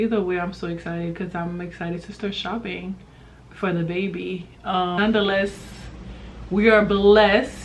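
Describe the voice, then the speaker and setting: A woman speaks at a moderate pace with a fairly low pitch. Some room echo can be heard. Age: 30s. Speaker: vlogger. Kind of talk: casual vlog talk.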